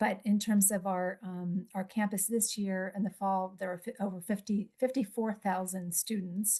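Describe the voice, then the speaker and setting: Here a woman speaks with a dark, mellow tone. Her voice is somewhat breathy. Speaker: psychologist. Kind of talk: conference presentation. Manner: fast.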